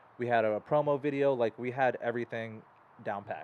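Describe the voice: At a fairly quick pace, a man speaks at medium pitch with ordinary pitch variation.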